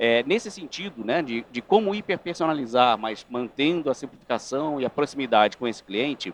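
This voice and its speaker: A man in a Rio de Janeiro accent, medium pitch, moderate pace, lively intonation and hardly any pauses. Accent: carioca. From Rio de Janeiro, Brazil. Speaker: panel moderator. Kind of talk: panel discussion.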